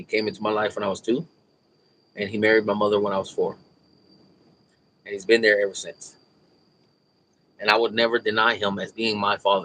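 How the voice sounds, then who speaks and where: Bright and sharp in tone, a man speaks at a fairly low pitch with monotone, flat intonation. His pace is fairly quick, broken by long, frequent pauses. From US, raised in Mexican stepfamily household. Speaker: YouTuber, auditing channel host. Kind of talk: casual livestream chat. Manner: casual, conversational.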